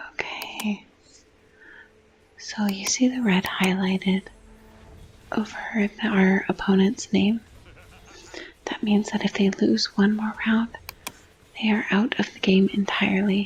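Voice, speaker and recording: A soft-spoken woman at a medium pitch, monotone and flat, fairly slow with long, frequent pauses, amid noticeable background noise. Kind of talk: gaming ASMR gameplay explanation.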